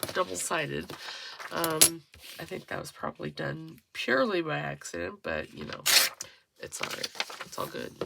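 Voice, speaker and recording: A woman talks quietly. Her pace is moderate. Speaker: crafting youtuber. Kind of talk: crafting tutorial.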